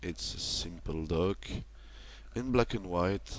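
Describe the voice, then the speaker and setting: A man with a French accent speaks at a fairly slow pace. His pitch swings very widely. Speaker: toy reviewer. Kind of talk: product review. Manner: halting, many fillers.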